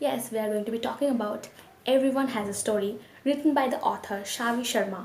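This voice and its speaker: Noticeable background noise sits behind a woman with a fairly high pitch. She talks at a very fast pace with ordinary pitch variation. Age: 20s. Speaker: book reviewer. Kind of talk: casual book review to camera.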